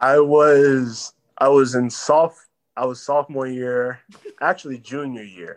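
A man has a plain, everyday voice with an American accent, speaking fairly slowly with fairly even intonation and big swings in loudness. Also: medium pitch for a man. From Texas. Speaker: baseball prospect. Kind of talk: casual chat.

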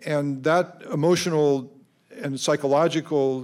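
A man speaks with an American accent and fairly high pitch. He has an unremarkable speaking voice. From Colorado. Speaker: science education policy director. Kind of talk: panel discussion. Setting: stage with audience at a high school.

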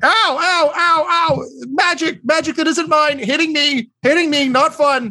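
This is a put-on character voice, high-pitched and shouting. It moves at a fairly slow pace. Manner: yelling.

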